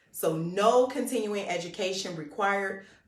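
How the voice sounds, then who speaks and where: A woman at medium pitch with ordinary pitch variation, a fairly slow pace, audible room echo and noticeable background noise. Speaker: real estate school enrollment manager. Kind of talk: instructional livestream talk.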